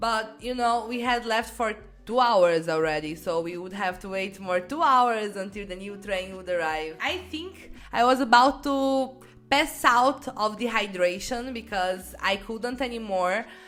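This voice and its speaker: A woman with a fairly high pitch and lively intonation speaks at a fairly slow pace, with big swings in loudness. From Brazil. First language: Portuguese. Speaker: YouTuber. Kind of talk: personal anecdote.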